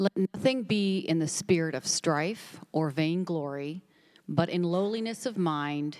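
A woman with an ordinary speaking voice talks at a fairly slow pace and fairly low pitch. The recording is very clean, with a silent background. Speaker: scripture reader. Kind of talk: reading aloud. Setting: church.

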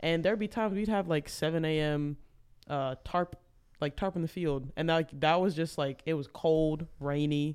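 With an unremarkable speaking voice and an American accent, a man talks at a fairly high pitch and a moderate pace, his intonation fairly even and loudness very even, on a very clean recording with a silent background. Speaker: college baseball player. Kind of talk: casual chat.

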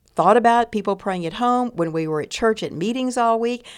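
With a Texan accent, a woman talks at a fairly quick pace and ordinary pitch variation in a very clean recording with a silent background. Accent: Texan Southern American. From US South, East Texas. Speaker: retired pastor and seminary president. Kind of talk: casual interview.

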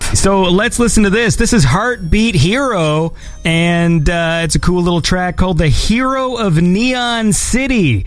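A man talks fairly slowly with hardly any pauses, his pitch high and his intonation lively. His loudness stays very even against noticeable background noise. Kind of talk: radio dj patter, upbeat live-stream show hosting with shout-outs and track intros. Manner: warm, friendly, enthusiastic host.

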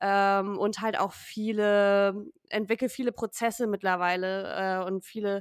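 Recorded very cleanly with a silent background, and with a dry, close sound with no echo, a woman speaks at a medium pitch with monotone, flat intonation at a fairly slow pace, hardly pausing. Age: 20s. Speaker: data analyst. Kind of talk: interview.

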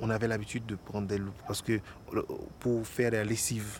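A dark, mellow tone carries this voice, which has a somewhat breathy quality. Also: man. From Haiti, Port-au-Prince. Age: 30s. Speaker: actor and stage director. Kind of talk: documentary interview.

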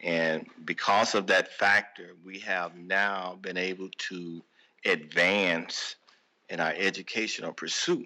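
A man with an American accent speaks at a very slow pace and very deep, low pitch in a monotone, flat intonation, on a very clean recording with a silent background. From St. Louis, Missouri. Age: 60s. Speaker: podcast guest, host's father. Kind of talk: casual interview.

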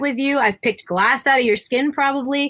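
Her voice is high-pitched, bright and sharp, raised and projected, moving at a fairly quick pace with ordinary pitch variation. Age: 30s. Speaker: professional wrestler. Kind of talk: casual chat.

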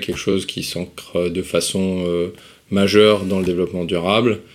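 A man speaks with a very deep, low voice. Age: 30s. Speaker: social entrepreneur. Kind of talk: interview.

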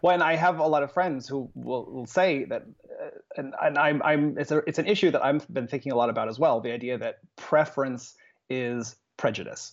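With an American accent and an enthusiastic, animated tone, a man talks at a fairly quick pace in a fairly high pitch with ordinary pitch variation. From Phoenix, Arizona. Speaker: guest. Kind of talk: casual chat.

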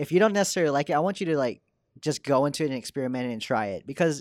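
With an American accent, a man talks at a very fast pace with lively intonation. The sound is dry and close, with no echo. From Texas (Dallas). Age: 20s. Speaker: motion designer. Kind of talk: casual interview chat.

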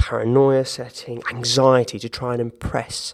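A man with a southern English accent, medium pitch and monotone, flat intonation. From southern England, Hampshire (Gosport). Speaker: musical theatre actor. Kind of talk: interview conversation. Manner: hesitant, many repetitions and fillers.

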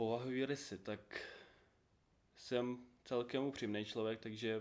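At a fairly slow pace, a man with a medium pitch talks in a monotone, flat way. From Ukraine. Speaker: small business owner. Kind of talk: casual interview.

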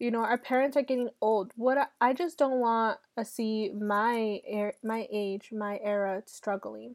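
A woman with an American accent and an ordinary speaking voice, at a fairly slow pace with hardly any pauses, in a very clean recording with a silent background and a dry, close sound with no echo. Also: fairly high pitch for a woman. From Los Angeles. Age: 20s. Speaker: podcast host. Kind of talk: casual monologue. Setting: sitting outside. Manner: casual, conversational with fillers.

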